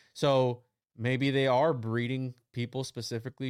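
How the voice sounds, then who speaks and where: The man's voice is medium in pitch. It is a very clean recording with a silent background. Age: 20s. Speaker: occult researcher guest. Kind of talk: casual chat.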